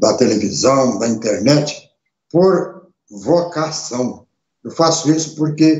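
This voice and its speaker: A man's fairly high voice with vocal fry, ordinary pitch variation and a very slow pace. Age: 70s. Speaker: radio and internet show host, former politician. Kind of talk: live webcast monologue. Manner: emphatic, repetitive.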